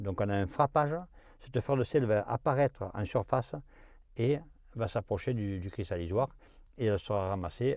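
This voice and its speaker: A man's fairly low voice with a dark, mellow tone over a quiet background. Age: 70s. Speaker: salt farmer. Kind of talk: interview. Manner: halting, many hesitations.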